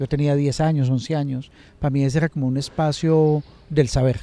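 A man's dark, mellow tone at a moderate pace, in a dry sound with no echo. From Colombia, Antioquia (Medellín, Itagüí); Antioquia, Colombia. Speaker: social scientist, truth commission coordinator; interviewee. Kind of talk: online lecture and conversation; interview answer. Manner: halting, many fillers and repetitions. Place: garden. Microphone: handheld.

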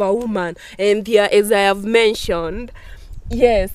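A woman with an African accent, fairly even intonation and a fairly slow pace. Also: dry sound with no echo. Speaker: discussion participant. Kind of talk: casual group discussion. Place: garden.

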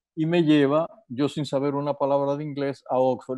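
Over a quiet background, a man with a fairly high pitch and a dark, mellow tone speaks at a fairly quick pace in a dry sound with no echo. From Dominican Republic. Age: 70s. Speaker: physician and sports official; interview guest. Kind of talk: interview. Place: home room. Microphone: earbuds.

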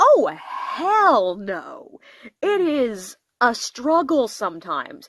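Her pitch swings very widely as this woman speaks. The sound is dry with no echo, over a quiet background. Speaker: book reviewer. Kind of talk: casual book review chat. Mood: enthusiastic, self-deprecating. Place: home room. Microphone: phone near.

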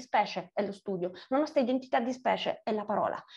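In a quiet background, a woman talks at a very fast pace with lively intonation. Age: 40s. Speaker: writer; interviewee. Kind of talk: interview. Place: home room. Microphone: video call.

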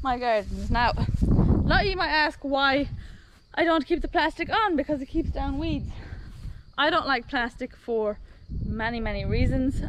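A woman speaks at a fairly slow pace. The sound is dry with no echo, and there is noticeable background noise. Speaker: farm vlogger. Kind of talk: casual vlog chat. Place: garden. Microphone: phone near.

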